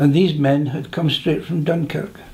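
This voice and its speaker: Pitch variation here is ordinary. There is a somewhat breathy quality to the voice. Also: man. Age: 80s+. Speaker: war veteran. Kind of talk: interview reminiscence. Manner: halting.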